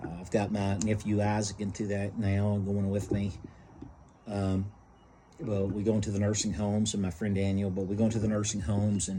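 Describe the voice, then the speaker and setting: The speech moves at a fairly quick pace with a somewhat breathy quality. Intonation is monotone and flat, and room echo is audible. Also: man, fairly low pitch for a man. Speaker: book reviewer and nursing home ministry volunteer. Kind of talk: casual book review monologue. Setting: outdoors on front porch. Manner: halting, many fillers.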